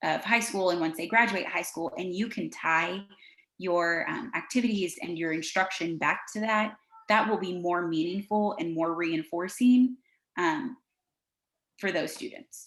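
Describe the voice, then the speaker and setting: A woman with an American accent and an unremarkable speaking voice, fairly low in pitch, with ordinary pitch variation and a fairly slow pace. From California. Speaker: education specialist presenter. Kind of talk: webinar presentation. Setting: video call.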